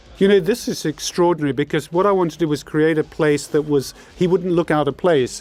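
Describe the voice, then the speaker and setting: Talking at a very fast pace, a man with a London accent speaks in a fairly high pitch. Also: ordinary pitch variation. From London, England. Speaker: film director. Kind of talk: DVD commentary chat.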